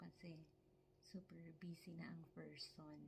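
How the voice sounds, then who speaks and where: A woman speaks softly with a somewhat breathy, dark and mellow tone. Her pitch sits fairly low. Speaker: vlogger, caregiver in Japan. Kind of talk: casual vlog. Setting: at home, close to camera. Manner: soft-spoken. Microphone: close to camera, quiet.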